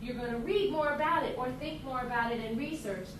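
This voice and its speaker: Speaking at a high pitch, a woman uses ordinary pitch variation. Noticeable background noise and audible room echo fill the recording. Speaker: teacher. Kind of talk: lecture. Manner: animated.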